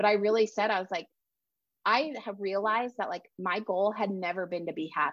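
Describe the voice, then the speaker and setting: A plain, everyday voice at a fairly quick pace, with ordinary pitch variation and a quiet background. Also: woman, medium pitch for a woman. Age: 30s. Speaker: writer and self-care coach. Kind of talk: casual interview.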